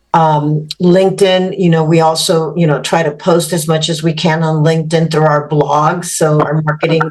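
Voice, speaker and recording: A woman speaks in a flat monotone at a very deep, low pitch, with very even loudness and a moderate pace. There are hardly any pauses, and room echo is audible. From Mexico. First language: Spanish. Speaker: business executive. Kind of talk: podcast interview.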